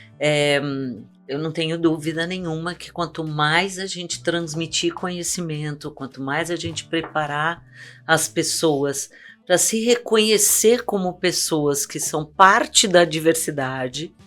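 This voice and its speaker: With music in the background, a woman talks at a fairly slow pace and a fairly low pitch, her pitch varying in an ordinary way. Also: big swings in loudness. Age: 60s. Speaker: marketing executive, diversity specialist. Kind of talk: panel discussion.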